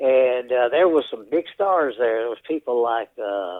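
A man speaks at a medium pitch. His intonation shows ordinary pitch variation. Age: 70s. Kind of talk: interview.

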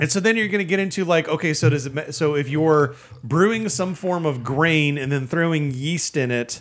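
A man with an American accent speaks at a moderate pace in an unremarkable speaking voice. His pitch is fairly high and his intonation lively. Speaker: podcast co-host. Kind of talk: casual chat.

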